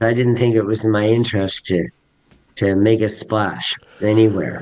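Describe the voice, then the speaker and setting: A man with a Canadian accent speaks at a fairly low pitch. His intonation is monotone and flat, and his loudness stays very even. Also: moderate pace. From Canada. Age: 60s. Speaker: teacher. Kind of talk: interview. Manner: halting.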